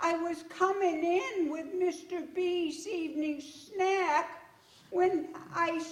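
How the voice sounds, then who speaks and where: Someone uses a put-on character voice at a very slow pace. A slight echo can be heard. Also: woman. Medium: stage play.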